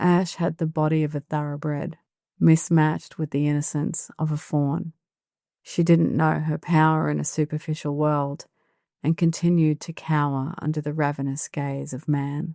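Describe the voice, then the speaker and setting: With an Australian accent, the speaker has a dark, mellow tone and a moderate pace, recorded dry and close with no echo against a quiet background. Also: woman, very deep, low pitch for a woman. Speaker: author reading own novel. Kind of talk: audiobook narration.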